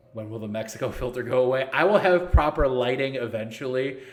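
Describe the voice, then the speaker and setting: Noticeable background noise runs behind a man who talks at a fairly quick pace. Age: 30s. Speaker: esports league organizer and streamer. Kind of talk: live stream Q&A. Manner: casual, joking.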